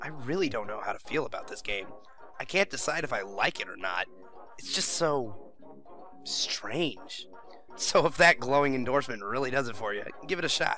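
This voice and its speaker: A man with fairly high pitch speaks at a moderate pace with lively intonation and long, frequent pauses. Music plays in the background. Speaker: gaming youtuber. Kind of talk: scripted narration. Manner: casual, comedic.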